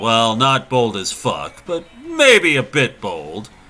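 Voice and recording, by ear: A man puts on a booming character voice at a medium pitch. He delivers it at a very slow pace.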